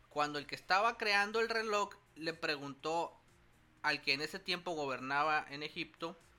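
Music in the background behind a man's fairly high voice, at a moderate pace with ordinary pitch variation. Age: 30s. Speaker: podcast co-host. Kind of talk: casual chat. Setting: studio.

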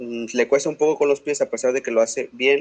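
A man with a Mexican accent, at a moderate pace, with ordinary pitch variation and a dry, close sound with no echo. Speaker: sports podcast co-host. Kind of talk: casual chat.

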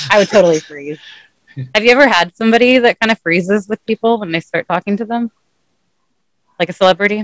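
A woman with an American accent speaks at a medium pitch and a very fast pace, with ordinary pitch variation and long, frequent pauses, in a dry, close sound with no echo. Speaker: podcast co-host. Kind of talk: casual chat.

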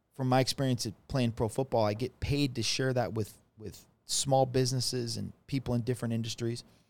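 The man speaks at medium pitch with monotone, flat intonation. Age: 40s. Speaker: former pro football player and speaker. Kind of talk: casual chat.

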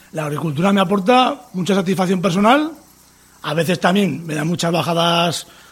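A man with a high pitch talks at a fairly quick pace, using ordinary pitch variation. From Navarre, Spain (Tudela). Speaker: farmer. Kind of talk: interview testimony.

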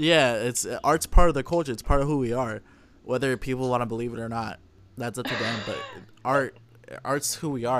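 A man at medium pitch, fairly quick pace and ordinary pitch variation, over noticeable background noise. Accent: American. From California (Oakland, then Modesto). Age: 20s. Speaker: photographer and musician. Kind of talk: casual interview chat.

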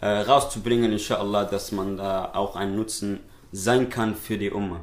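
Speaking in a Somali accent, a man keeps fairly even intonation at a fairly low pitch. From Switzerland (raised there, born in Somalia). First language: Somali (speaking German). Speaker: nasheed artist and poet. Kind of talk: casual interview. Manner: hesitant, many fillers.

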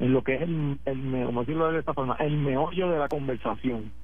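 A man at a fairly high pitch and moderate pace, with audible room echo. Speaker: politician. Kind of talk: radio interview.

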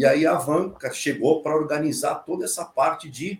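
A man, using a plain, everyday voice, talks at a moderate pace with a fairly high pitch. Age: 50s. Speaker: fintech technology executive. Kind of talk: casual chat.

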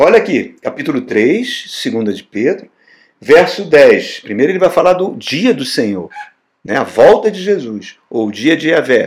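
A man's high-pitched, animated voice at a fairly slow pace, swinging very widely in pitch. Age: 60s. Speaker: pastor. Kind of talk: sermon.

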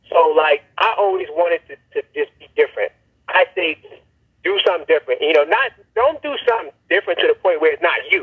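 A man speaks at a fairly quick pace in a New York accent. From New York, Brooklyn. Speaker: event promoter, former rapper. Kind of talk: interview.

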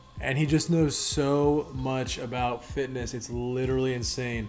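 An enthusiastic man at a medium pitch, with music in the background. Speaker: podcast host. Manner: casual, enthusiastic.

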